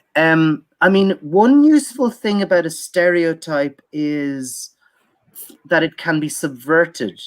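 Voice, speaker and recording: Speech in an Irish accent unfolds at a very slow pace. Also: very clean recording, silent background. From Ireland. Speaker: academic speaker on Irish film. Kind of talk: conference Q&A answer. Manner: halting, many repetitions and fillers.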